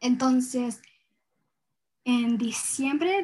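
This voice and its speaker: Words arrive very slowly, and the pitch varies in an ordinary way. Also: woman. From US and rural Ecuador, Ecuadorian parents. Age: young. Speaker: environmental activist, university student. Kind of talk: interview. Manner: halting, many fillers.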